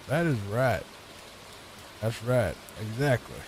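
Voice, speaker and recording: Amid noticeable background noise, a soft-spoken voice with a Virginia accent carries ordinary pitch variation. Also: man. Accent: noticeable Southern (Virginia). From Virginia, US. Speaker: gaming streamer. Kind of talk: casual gameplay commentary. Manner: laid back, soft-spoken; calm, relaxing.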